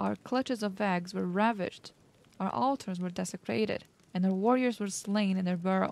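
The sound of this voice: An unforced reading voice, pitch varying in an ordinary way.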